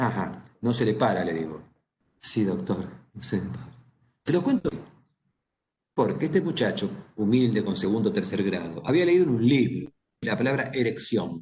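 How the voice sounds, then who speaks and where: A somewhat breathy man with an Argentine accent, moderate pace, very wide pitch swings and long, frequent pauses. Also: medium pitch for a man. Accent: Rioplatense Argentine Spanish. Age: 70s. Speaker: psychologist. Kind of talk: lecture. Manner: conversational, informal.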